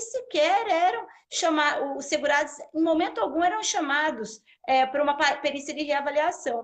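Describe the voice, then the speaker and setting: Speaking with a São Paulo interior accent, a woman uses lively intonation, a high pitch and a fairly quick pace. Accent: Piracicaba interior accent with retroflex R. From Brazil, Piracicaba in São Paulo state. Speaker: social security law professor. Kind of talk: live interview, explaining law.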